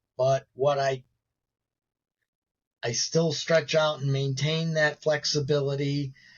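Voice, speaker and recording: A man with an American accent talks at a very slow pace in a fairly high pitch, his intonation monotone and flat, his voice somewhat breathy, with long, frequent pauses. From Chicago south suburbs, US Midwest. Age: 60s. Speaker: paralympic gymnast and motivational speaker. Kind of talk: interview conversation. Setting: live online show.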